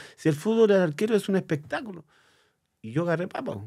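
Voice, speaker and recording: Over a quiet background, a man speaks with a high pitch at a fairly quick pace. His tone is dark and mellow. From Chile, Lonquén; Chile. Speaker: former football goalkeeper; interview guest. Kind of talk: interview. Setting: studio. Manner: halting, repeats words. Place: studio. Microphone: studio mic.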